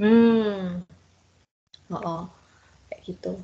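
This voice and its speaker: A woman's voice of medium pitch. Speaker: student teacher. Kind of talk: online class lesson. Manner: casual, conversational.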